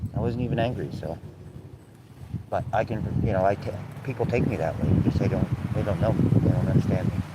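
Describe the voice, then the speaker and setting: Over noticeable background noise, a man with a fairly low pitch talks at a very fast pace with ordinary pitch variation and long, frequent pauses. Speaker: live streamer. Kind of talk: casual livestream chat. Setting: outdoors, windy. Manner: loud; blunt, outspoken.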